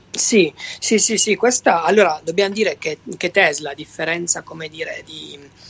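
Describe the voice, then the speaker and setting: His pitch varies in an ordinary way. This man talks at a high pitch. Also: moderate pace. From southern Italy, Basilicata. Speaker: electric car travel blogger. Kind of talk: casual interview. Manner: halting, many repetitions.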